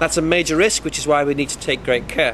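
Over clear background noise, the voice moves at a fairly quick pace with ordinary pitch variation. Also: man.

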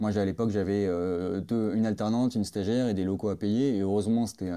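Against a quiet background, a man speaks fairly quickly with hardly any pauses. His voice is fairly low with a dark, mellow tone and fairly even intonation. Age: 30s. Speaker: product designer. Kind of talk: interview.

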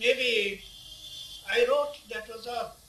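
Light background noise sits behind a man speaking with an Indian accent. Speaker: poet. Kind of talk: interview answer. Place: home room. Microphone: phone near.

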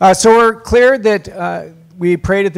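A man's voice shows ordinary pitch variation, with a quiet background behind it. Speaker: priest giving a workshop. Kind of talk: workshop talk. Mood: warm, lightly humorous. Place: hall. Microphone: handheld.

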